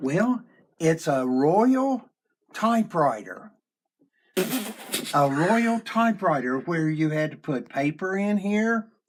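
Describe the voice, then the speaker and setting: Speaking at a very slow pace, a man with a high voice makes very wide pitch swings. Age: 70s. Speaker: elderly host showing old gadgets. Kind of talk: casual chat.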